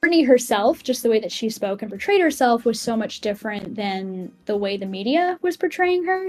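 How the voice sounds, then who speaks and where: With an American accent, a woman speaks at a moderate pace. Her fairly high voice has lively intonation. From Massachusetts, New England. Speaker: music journalist. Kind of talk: podcast interview. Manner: rambling, many fillers.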